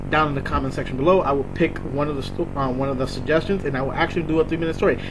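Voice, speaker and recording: Over music in the background and audible room echo, a man talks at a very fast pace with a fairly high pitch and fairly even intonation. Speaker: vlogger. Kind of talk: casual vlog monologue. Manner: rambling, many fillers. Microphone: laptop mic, poor audio.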